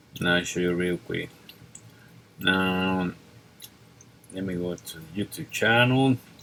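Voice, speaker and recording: A man with a very deep, low pitch, a bright, sharp tone, a slight non-native accent, ordinary pitch variation, a fairly slow pace and long, frequent pauses. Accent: non-native English speaker, slight. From Mexico. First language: Spanish. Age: 40s. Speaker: mover and DIY mechanic. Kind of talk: tutorial. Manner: casual, halting.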